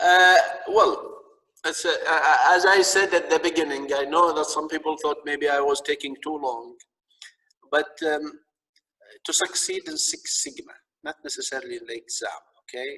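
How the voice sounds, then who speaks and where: With a strong Arabic accent, a man talks with long, frequent pauses. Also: moderate pace. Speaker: lecturer. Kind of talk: lecture. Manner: halting, repetitive.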